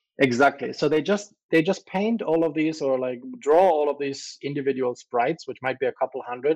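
This man talks fairly quickly with a German accent, his pitch fairly high and his intonation ordinary in its variation. He hardly pauses, and the sound is dry and close with a quiet background and no echo. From Germany. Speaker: crypto entrepreneur. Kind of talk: casual interview.

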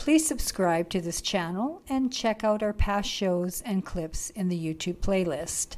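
A woman with a plain, everyday voice speaks in a Canadian accent, medium in pitch with lively intonation. Her pace is fairly slow, yet she leaves hardly any pauses. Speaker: podcast host and journalist. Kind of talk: interview. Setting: video call.

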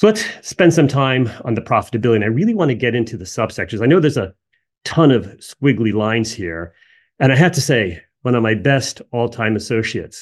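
An unremarkable speaking voice from a man with an American accent, medium in pitch, fairly quick, with lively intonation. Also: quiet background. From US Northeast, New Jersey. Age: 50s. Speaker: energy sector analyst. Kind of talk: casual personal aside; solo video presentation.

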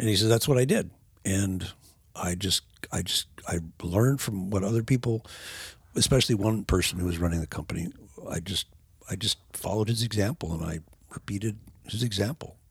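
Somewhat breathy and at a very fast pace, the voice has ordinary pitch variation and long, frequent pauses. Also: man. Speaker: documentary filmmaker. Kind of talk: casual chat. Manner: repeats words, halting.

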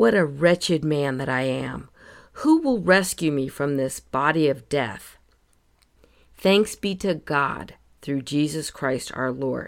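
Very deep and low in pitch, a woman's voice moves at a very slow pace with ordinary pitch variation. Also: very clean recording, silent background. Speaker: podcast host. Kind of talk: scripted devotional reading with scripture. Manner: calm, soothing.

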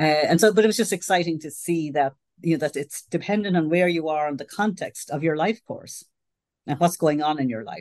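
With an Irish accent, a woman talks at a fairly quick pace in a fairly low pitch, with ordinary pitch variation and big swings in loudness. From Ireland. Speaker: sociology professor. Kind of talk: interview.

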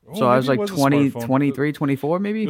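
Man with a Boston accent, medium pitch, lively intonation, and fairly slow pace, against noticeable background noise. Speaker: podcast co-host.

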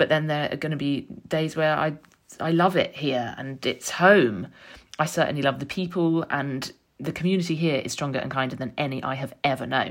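Moderate pace and ordinary pitch variation in a London accent, on a very clean recording with a silent background. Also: woman, very deep, low pitch for a woman. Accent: southern English (London). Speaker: podcast host, author and journalist. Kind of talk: personal monologue. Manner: reflective.

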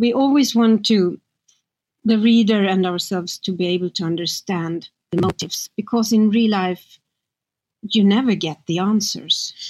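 The voice carries a Swedish accent. The sound is dry and close, with no echo. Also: woman, medium pitch for a woman, ordinary pitch variation, moderate pace. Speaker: crime novelist. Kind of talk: interview.

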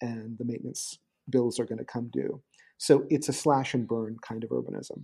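A man with an American accent talks at medium pitch and a moderate pace, his intonation fairly even and his tone dark and mellow. The recording is very clean, with a silent background and a dry, close sound with no echo. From US Northeast, suburban New Jersey. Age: 50s. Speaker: blogger and urban commentator. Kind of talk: casual interview.

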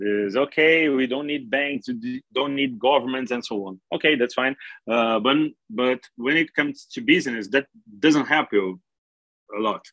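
A man with a Portuguese accent talks at medium pitch with lively intonation. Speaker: crypto exchange executive. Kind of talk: interview. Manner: halting, many fillers and repeats.

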